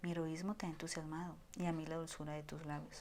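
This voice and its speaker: A woman with a very deep, low voice talks at a fairly quick pace in a calm tone. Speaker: audiobook reader. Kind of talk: horror story reading in low voice. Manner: low-voiced, calm.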